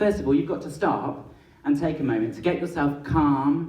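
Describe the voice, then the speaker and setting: A man speaks in a fairly high pitch with lively intonation. Audible room echo carries his voice. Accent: English. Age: 20s. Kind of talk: public talk.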